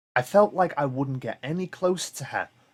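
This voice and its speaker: A man with a Liverpool accent at a moderate pace, lively in intonation, in a dry, close sound with no echo. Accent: Liverpool (Scouse). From Liverpool, England. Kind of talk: ghost story reading.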